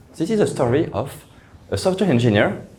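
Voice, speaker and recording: Somewhat breathy, a man talks at a moderate pace with lively intonation in a room with audible echo. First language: French. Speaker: software engineer. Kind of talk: conference talk. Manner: halting, repeated words.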